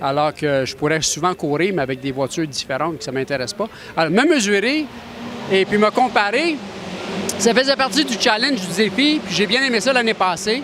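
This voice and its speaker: Over noticeable background noise, a man talks at a moderate pace in a high pitch with very wide pitch swings. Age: 60s. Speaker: racing driver. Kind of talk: interview.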